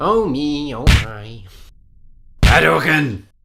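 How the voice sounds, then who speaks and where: In a cartoonish character voice, a man speaks at a medium pitch with very wide pitch swings. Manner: blunt, combative.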